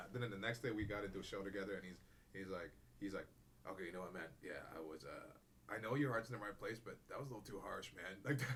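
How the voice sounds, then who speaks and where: Audible room echo surrounds a very fast pace of speech with ordinary pitch variation. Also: man, fairly low pitch for a man. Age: 40s. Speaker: comedian. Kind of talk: casual chat. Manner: animated.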